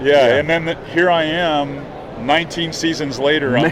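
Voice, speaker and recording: A man with a fairly high pitch keeps his loudness very even against noticeable background noise. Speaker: podcast guest, fishing television host.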